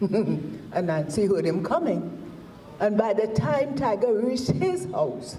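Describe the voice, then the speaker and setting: Noticeable background noise runs under the speech. The delivery is fairly slow, with lively intonation. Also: woman. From Trinidad. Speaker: storyteller. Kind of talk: folk tale telling.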